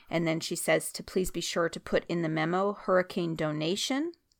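An ordinary speaking voice with an American accent moves at a moderate pace with ordinary pitch variation on a very clean recording with a silent background. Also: woman. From US West (Oregon). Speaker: Bible commentary podcaster. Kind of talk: Bible commentary, casual talk. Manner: casual, many filler words.

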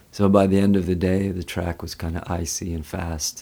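At a moderate pace, a man with a Canadian accent speaks in a very deep, low pitch. His tone is dark and mellow and somewhat breathy. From Canada, West Vancouver. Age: 40s. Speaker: yoga teacher. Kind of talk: casual interview conversation. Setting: studio.

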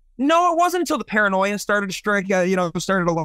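Very fast and lively in intonation, a man with an American accent speaks in a bright, sharp tone, recorded dry and close with no echo. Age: 40s. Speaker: comic book store owner. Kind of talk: casual chat.

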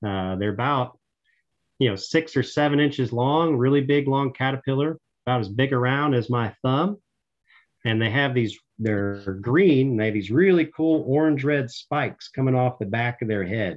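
With a Tennessee accent, a man talks at a moderate pace in a medium pitch with ordinary pitch variation. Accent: Southern US (Tennessee). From Middle Tennessee, US South. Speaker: park ranger. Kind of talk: interview. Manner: talkative.

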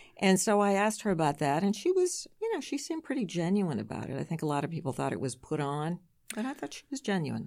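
In a very clean recording with a silent background, a woman of medium pitch speaks at a very fast pace with very wide pitch swings. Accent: American. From Massachusetts, North Shore (Marblehead). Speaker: radio news anchor. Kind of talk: casual interview chat.

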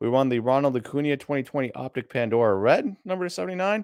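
Against a quiet background in dry, close sound with no echo, a man speaks at a fairly high pitch and moderate pace, with lively intonation. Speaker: sports card livestream co-host. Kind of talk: casual livestream chat. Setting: online livestream.

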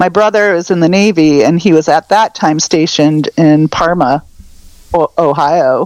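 In a normal speaking voice, a woman speaks at a fairly low pitch and moderate pace, with ordinary pitch variation, very even loudness, and a dry, close sound with no echo. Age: 50s. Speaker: pop punk music fan. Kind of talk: casual chat.

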